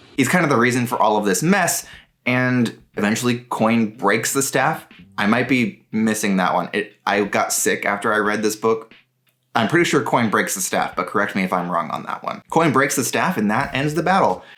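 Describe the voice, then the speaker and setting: With music in the background, a man of medium pitch talks at a moderate pace using lively intonation. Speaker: book reviewer. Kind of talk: book summary and review.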